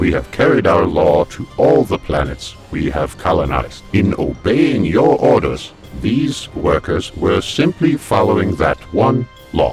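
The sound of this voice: A man puts on a character voice, low in pitch with a slightly mellow tone. His pitch swings widely, with faint music in the background. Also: fairly slow pace.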